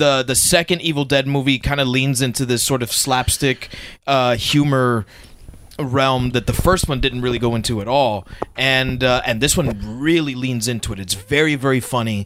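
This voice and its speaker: Speaking in an ordinary speaking voice, a man keeps a medium pitch, a moderate pace and fairly even intonation. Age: 30s. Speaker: podcast co-host. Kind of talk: casual chat.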